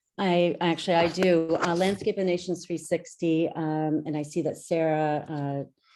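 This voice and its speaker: Against a quiet background, a woman with a Canadian accent speaks at a fairly low pitch and a fairly slow pace in a dark, mellow tone with monotone, flat intonation. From Niagara region and Buffalo. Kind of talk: Q&A after a talk.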